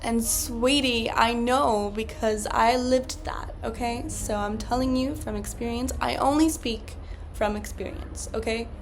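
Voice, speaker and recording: Speech moves at a fairly slow pace. Room echo is audible, and background noise is noticeable. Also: woman. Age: 20s. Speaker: podcast host. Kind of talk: casual solo podcast monologue.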